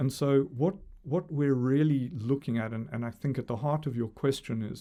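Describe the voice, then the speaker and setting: A man speaks at a medium pitch with a dark, mellow tone and ordinary pitch variation. The recording is very clean, with a silent background. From South Africa. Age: 60s. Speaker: sports integrity commissioner. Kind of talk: podcast interview. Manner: halting, frequent repetitions.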